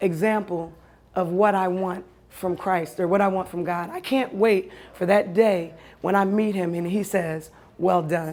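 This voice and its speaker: The woman's tone is animated and her pitch is medium. She keeps a moderate pace. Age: 40s. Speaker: storyteller. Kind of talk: personal storytelling.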